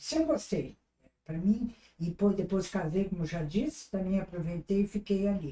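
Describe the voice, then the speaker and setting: Her voice is medium in pitch, with a dark, mellow tone and somewhat breathy. The woman keeps a moderate pace and lively intonation. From southern Brazil, Rio Grande do Sul (Salvador do Sul). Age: 80s+. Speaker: retired businesswoman. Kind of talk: interview. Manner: halting.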